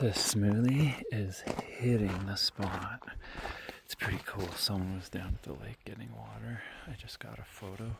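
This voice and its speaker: A man speaks at a fairly slow pace in a relaxed tone, his loudness swinging widely. Noticeable background noise runs underneath. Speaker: hiker vlogger. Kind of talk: casual vlog narration while hiking. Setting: outdoors on a mountain trail at night. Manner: relaxed, hesitant with fillers; soft-spoken, quiet near campers.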